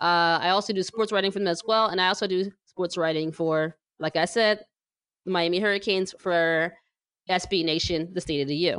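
With very even loudness and fairly even intonation, a woman talks at a fairly quick pace in a medium pitch, using an ordinary speaking voice over a quiet background. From New Jersey. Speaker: podcast host and sports writer. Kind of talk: casual chat.

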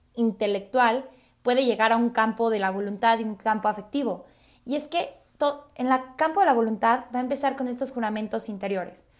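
At a fairly quick pace, a woman talks at a fairly high pitch. Her pitch varies in an ordinary way. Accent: central Mexican. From Mexico City. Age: 20s. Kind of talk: religious talk podcast.

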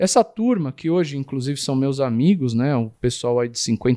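A man talks at a moderate pace in a dark, mellow tone, with a dry, close sound and no echo. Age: 40s. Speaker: tattoo artist. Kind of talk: interview. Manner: hesitant, with repeated words.

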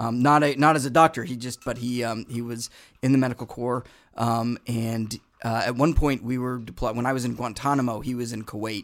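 Using a normal speaking voice, a man with an American accent talks at a medium pitch and a fairly quick pace. His intonation stays fairly even. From New England, Boston. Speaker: actor and army public affairs soldier. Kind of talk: casual chat.

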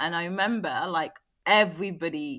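A woman speaks with a London accent, her pitch fairly low and varying in an ordinary way. Her tone is bright and sharp, and the recording is very clean with a silent background. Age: 40s. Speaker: former Olympic athlete and beauty entrepreneur. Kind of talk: casual chat. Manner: halting.

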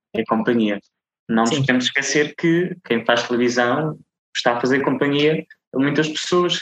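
Moderate pace and ordinary pitch variation. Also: man. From Azores, São Miguel. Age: 20s. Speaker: TV reporter. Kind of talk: interview.

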